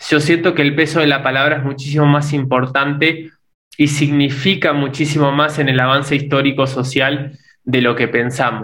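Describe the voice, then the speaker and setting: This man's fairly high voice has a bright, sharp tone and a flat, monotone delivery. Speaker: podcast co-host, son. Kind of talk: casual conversation. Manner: halting, repeats words.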